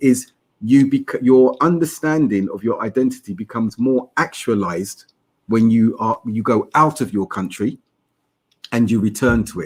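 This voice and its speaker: Here a man speaks at a medium pitch. His pace is moderate. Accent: South London. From South London (Tooting). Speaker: academic guest on Islamic podcast. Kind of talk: podcast discussion.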